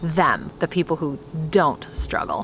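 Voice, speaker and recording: The speaker uses an American accent. The pace is moderate and the intonation fairly even. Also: woman. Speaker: vlogger and homeschooling mom. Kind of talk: personal vlog talk to camera. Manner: loud.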